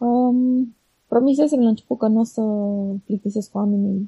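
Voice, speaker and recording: A woman speaks at a fairly quick pace, her fairly high voice somewhat breathy. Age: 30s. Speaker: blogger. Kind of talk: interview. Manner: halting.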